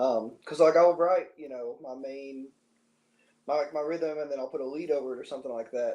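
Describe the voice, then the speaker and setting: With an American accent, a man speaks at a fairly quick pace in a dark, mellow tone, his fairly high pitch kept to fairly even intonation. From US South, southwest Virginia/eastern Tennessee. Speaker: guitarist. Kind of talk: casual interview chat. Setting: live stream.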